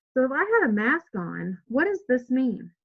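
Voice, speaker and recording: With an American accent, a woman is talking. A somewhat breathy quality runs through her voice. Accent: Texas drawl, stronger later in the day. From Texas. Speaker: nursing home expert, healthcare trainer. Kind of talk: tutorial.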